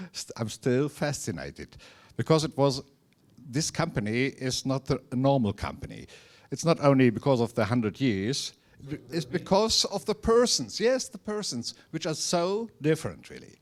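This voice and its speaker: A man speaks at a moderate pace with a German accent, his fairly high pitch making very wide swings and his loudness rising and falling sharply. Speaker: author of a company history. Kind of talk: talk to society. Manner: halting.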